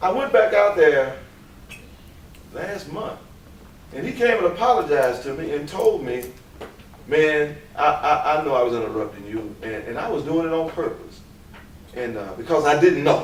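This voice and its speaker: A man with a fairly high pitch talks at a moderate pace, his pitch swinging very widely and his loudness shifting a lot. Long, frequent pauses break up his speech amid noticeable background noise and audible room echo. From US South, Memphis, Tennessee. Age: 50s. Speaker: teacher. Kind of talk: lecture. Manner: animated.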